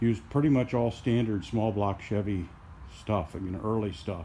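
A man speaks in a dark, mellow tone with ordinary pitch variation. Light background noise can be heard. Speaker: hobbyist tractor restorer. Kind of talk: lecture-style explanation of a project. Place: garage. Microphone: phone near.

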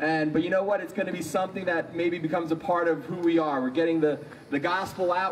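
Light background noise sits behind this recording. A man speaks in a high pitch. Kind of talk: service announcements and prayer intro. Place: street. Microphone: handheld.

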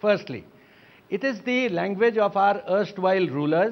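A high-pitched man with an Indian accent. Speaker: writer and poet. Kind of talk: televised panel debate. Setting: studio. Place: home room. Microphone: lapel.

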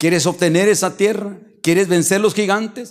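A high-voiced man at a fairly slow pace, set against a quiet background. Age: 50s. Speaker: pastor. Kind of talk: sermon. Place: church. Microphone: handheld.

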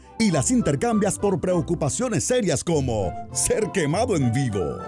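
Music plays behind a man speaking fairly slowly in a high pitch. His pitch swings very widely. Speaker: voice-over narrator. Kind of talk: parody movie trailer narration.

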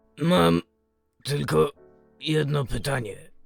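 A man does a put-on character voice at medium pitch and a very slow pace while faint music plays in the background. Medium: dub. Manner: gruff, irritable.

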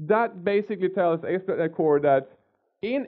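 Against a quiet background, a man speaks in a high voice. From Sweden. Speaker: software developer. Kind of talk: technical lecture with live coding. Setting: conference stage with audience. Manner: fast. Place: hall.

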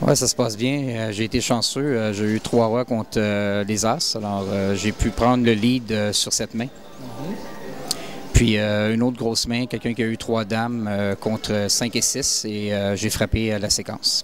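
Over music in the background, a man with a Quebec accent speaks monotone at a fairly slow pace and fairly low pitch, with a dry sound and no echo. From Canada. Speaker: poker player. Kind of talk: interview answer. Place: bar. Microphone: handheld.

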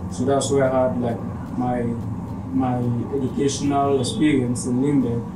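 Against loud background noise, a man speaks at a fairly slow pace. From Cameroon, Limbe (anglophone southwest). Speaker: barber. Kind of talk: interview monologue. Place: home room.

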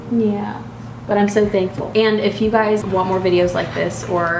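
Noticeable background noise surrounds a woman speaking at a fairly quick pace with ordinary pitch variation. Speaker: vlogger, new mother. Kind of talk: casual vlog monologue. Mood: warm, cheerful, wrapping up. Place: home room. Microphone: camera far.

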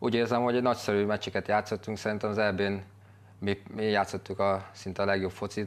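Flat and monotone, a man's fairly low voice moves along at a fairly quick pace. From Hungary. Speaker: footballer. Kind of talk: casual chat. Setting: studio. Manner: halting. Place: studio. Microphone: lapel.

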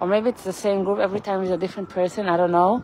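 A woman's voice comes through dry with no echo, over light background noise. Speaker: walking tour livestreamer. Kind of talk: casual livestream chat. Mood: somber, reflective. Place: street. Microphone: phone near.

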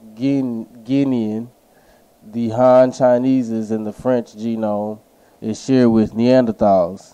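A man speaks at a very slow pace in a dark, mellow tone. His intonation stays monotone and flat. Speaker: YouTube commentator. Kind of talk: video essay, partly reading aloud from articles.

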